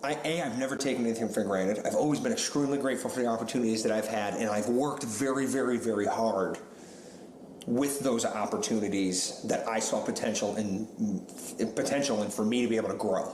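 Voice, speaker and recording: A man talks at a very fast pace with very even loudness and fairly even intonation, over noticeable background noise and audible room echo. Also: medium pitch for a man. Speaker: paint store manager. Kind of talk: casual chat.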